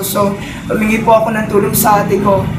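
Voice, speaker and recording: Noticeable background noise accompanies talking that proceeds at a moderate pace. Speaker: product testimonial giver. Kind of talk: testimony. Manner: halting.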